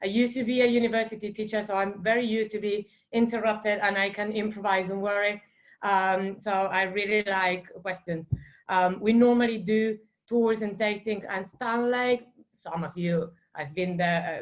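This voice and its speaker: Speaking with an Argentine accent, a woman keeps a medium pitch and fairly even intonation. Her pace is moderate. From Argentina, Santa Fe. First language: Spanish. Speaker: wine estate manager. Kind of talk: virtual wine tasting. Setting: video call. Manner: casual, many fillers.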